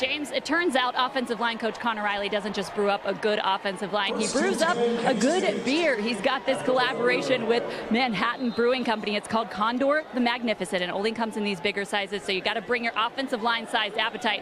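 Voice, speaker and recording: A woman talks at a very fast pace with hardly any pauses and ordinary pitch variation over noticeable background noise. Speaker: sports broadcaster. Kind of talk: sideline reporting and sports hosting.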